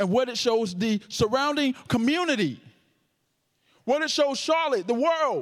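A man speaks in an extremely high pitch with an animated tone and lively intonation, broken up by long, frequent pauses. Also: very clean recording, silent background. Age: 30s. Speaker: pastor. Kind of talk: sermon. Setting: church with audience.

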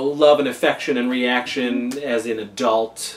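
A man speaks very slowly, with clear background noise behind him. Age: 40s. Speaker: podcast host. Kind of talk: casual chat.

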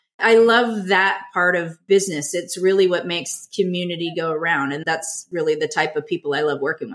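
With an American accent and an ordinary speaking voice, a woman talks fairly quickly in a fairly low pitch. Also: ordinary pitch variation. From Southern California. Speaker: business coach. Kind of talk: interview.

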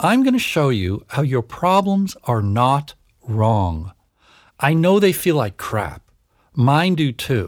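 In a very clean recording with a silent background, a man with a slight Canadian accent speaks at a very slow pace in a fairly high pitch with very wide pitch swings. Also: very even loudness. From Canada. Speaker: psychologist and podcast host. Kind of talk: solo podcast monologue.

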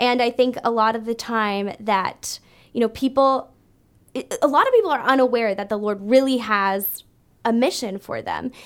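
In a Canadian accent, a woman talks at a moderate pace in a plain, everyday voice, fairly high in pitch with ordinary pitch variation. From Canada, Brampton, Ontario. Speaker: worship leader and church ministries director. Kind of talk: interview.

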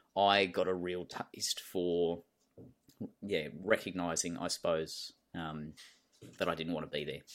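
Speaking at a fairly slow pace, a man with an Australian accent leaves long, frequent pauses. His very deep, low voice stays monotone and flat. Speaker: cave diver and former soldier. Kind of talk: interview. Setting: video call.

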